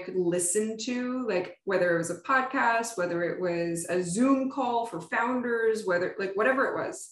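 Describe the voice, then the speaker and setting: In a plain, everyday voice, a woman with an American accent speaks at a moderate pace and a fairly high pitch, with ordinary pitch variation. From US Northeast, Pennsylvania (Poconos). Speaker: startup founder and CEO. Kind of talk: casual interview.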